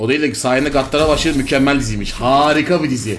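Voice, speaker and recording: Light background noise accompanies a man speaking in an animated tone. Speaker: gaming streamer. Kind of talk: live gameplay commentary. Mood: frustrated swearing bursts.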